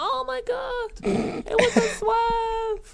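A squeaky, excited put-on character voice at an extremely high pitch over loud background noise. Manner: excited, shocked, exaggerated.

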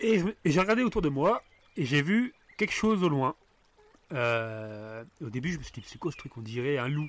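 A man with a fairly high voice speaks at a moderate pace, with very wide pitch swings, big swings in loudness and long, frequent pauses. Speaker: podcast host. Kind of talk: casual chat. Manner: storytelling voice.

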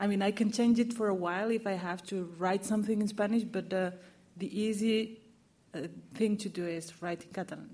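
A somewhat breathy woman at medium pitch, fairly quick in pace and fairly even in intonation. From Morocco, raised in Catalonia from age eight. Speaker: novelist. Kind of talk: panel discussion. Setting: bookshop event with audience.

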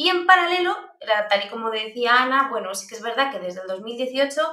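A woman talks at a fairly quick pace with lively intonation, and audible room echo surrounds her voice. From Basque Country, Spain. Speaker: privacy expert and university lecturer. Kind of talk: interview.

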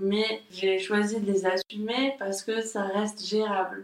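Her pitch medium and her intonation fairly even, a woman speaks at a very slow pace. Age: 30s. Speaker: graphic designer. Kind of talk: casual chat. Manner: halting.

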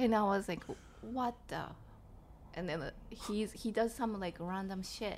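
A woman with a Japanese accent speaks at medium pitch and a fairly slow pace, with ordinary pitch variation and long, frequent pauses. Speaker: comedian. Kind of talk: casual chat.

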